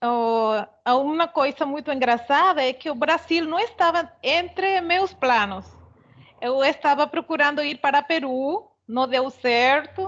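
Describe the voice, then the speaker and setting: A woman with a Venezuelan accent speaks at a very slow pace with lively intonation and a high pitch, over a quiet background. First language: Spanish (speaking Portuguese). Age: 40s. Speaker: immigrant seamstress. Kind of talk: panel talk, personal account. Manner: halting, with hesitations.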